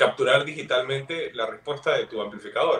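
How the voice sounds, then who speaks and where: A man talks at a moderate pace with a fairly high pitch. His is an unremarkable speaking voice. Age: 40s. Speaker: guitarist. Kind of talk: casual chat.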